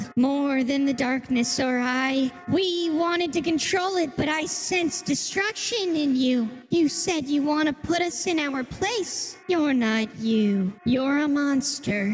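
A high-pitched voice speaks at a fairly slow pace against clear background noise. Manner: grave, accusing.

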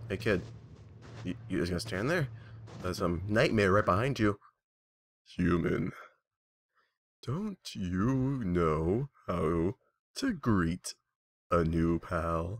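A man's put-on character voice, very deep and low, at a very slow pace with long, frequent pauses, on a very clean recording with a silent background. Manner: relaxed, drawling, joking.

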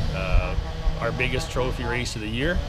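The sound is dry with no echo as a man speaks at a moderate pace with loud background noise around him. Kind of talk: interview answer. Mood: relaxed, friendly. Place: waterside.

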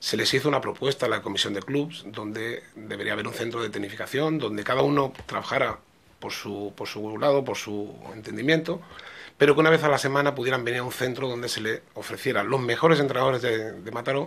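A man at a fairly quick pace with ordinary pitch variation. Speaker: football coach. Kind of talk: interview answer. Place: office. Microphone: podium.

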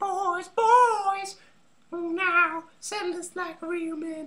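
Using a put-on character voice, a man speaks very slowly in a squeaky, extremely high pitch with monotone, flat intonation.

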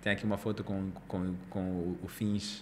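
Speaking very slowly, a man has a fairly low, bright and sharp voice. His intonation stays fairly even over light background noise. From Angola. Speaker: podcast host. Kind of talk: podcast interview. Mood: relaxed, friendly. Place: studio. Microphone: studio mic.

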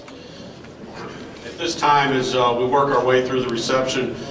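A man talks in a monotone, flat intonation, with noticeable background noise and audible room echo. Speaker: presenter. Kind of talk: formal ceremony address. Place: hall. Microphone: camera far.

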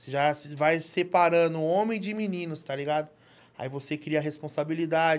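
A man at a fairly high pitch, fairly even in intonation, at a moderate pace. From Brazil, São Paulo area (Franco da Rocha); São Paulo, Brazil. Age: 40s. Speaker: entrepreneur, barbershop owner; podcast guest. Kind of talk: casual interview. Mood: relaxed, reflective storytelling. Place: studio. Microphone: studio mic.

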